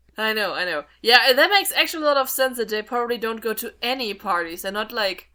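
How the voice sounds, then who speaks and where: With a non-native accent, a woman races along at a very fast pace with hardly any pauses, her fairly high voice bright and sharp in tone and her intonation lively. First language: not English. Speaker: podcast co-host. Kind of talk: casual chat.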